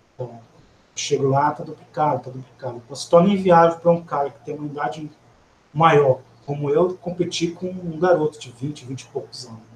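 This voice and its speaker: In an ordinary speaking voice, a man with a fairly high pitch talks at a fairly quick pace, keeping fairly even intonation despite big swings in loudness. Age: 40s. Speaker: offensive security researcher. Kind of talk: technical webcast presentation.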